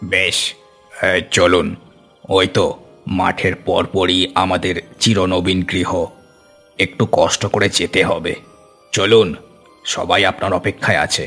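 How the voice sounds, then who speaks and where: Faint music plays behind a man doing a cartoonish character voice, very deep and low, delivered at a fairly slow pace. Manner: polite, ingratiating.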